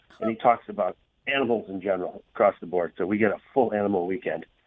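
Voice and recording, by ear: A man speaks at a fast pace with a fairly low pitch and ordinary pitch variation. The sound is dry and close, with no echo.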